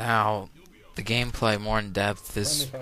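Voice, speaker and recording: Music plays behind a man's fairly low voice. His intonation is monotone and flat. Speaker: game reviewer. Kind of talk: game review talk. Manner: hesitant, casual.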